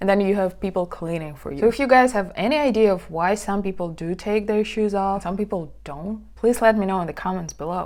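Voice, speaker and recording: Captured in a very clean recording with a silent background, a woman with a medium pitch talks fairly quickly, showing ordinary pitch variation. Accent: Russian. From Siberia, Russia. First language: Russian. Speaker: vlogger. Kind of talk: casual vlog talk.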